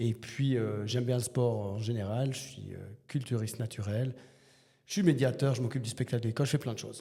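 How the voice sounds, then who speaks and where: A man speaks at a fairly quick pace in a medium pitch, his dark, mellow tone somewhat breathy and his intonation fairly even. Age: 40s. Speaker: teacher and bodybuilder. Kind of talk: podcast interview. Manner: hesitant, many fillers.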